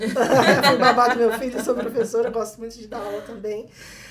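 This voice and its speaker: With noticeable background noise and audible room echo, a woman speaks at a fairly high pitch and a moderate pace with fairly even intonation. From Minas Gerais, Brazil (small town). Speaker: technology executive. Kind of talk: interview.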